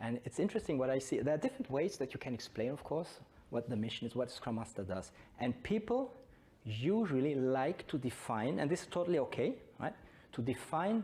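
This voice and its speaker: Dark and mellow, a man's somewhat breathy voice makes very wide pitch swings at a moderate pace. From Belgium. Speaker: Scrum trainer. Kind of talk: conference talk.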